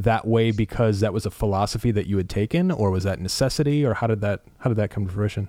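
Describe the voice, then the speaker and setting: The recording is very clean with a silent background. A man speaks at medium pitch with ordinary variation and a dark, mellow tone. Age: 30s. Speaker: podcast host and entrepreneur. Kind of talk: interview.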